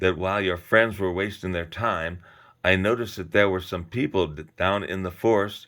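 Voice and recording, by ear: Words are read aloud in a natural voice.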